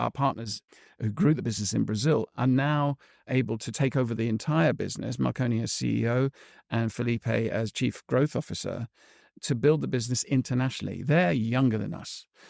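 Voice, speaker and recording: Over a silent background in a very clean recording, a man in an ordinary speaking voice talks at a fairly quick pace with medium pitch and ordinary pitch variation, the sound dry and close with no echo. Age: 60s. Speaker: entrepreneur. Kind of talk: interview.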